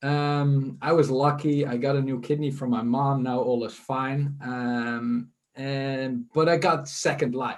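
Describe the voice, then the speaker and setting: A man speaks at a fairly high pitch in a Dutch accent. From Netherlands, near Amsterdam. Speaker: leadership school partner. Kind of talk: fireside chat interview.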